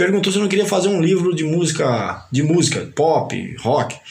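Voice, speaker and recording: Both audible room echo and noticeable background noise can be heard in the clip. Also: man. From Paraíba, northeastern Brazil. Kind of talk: casual interview.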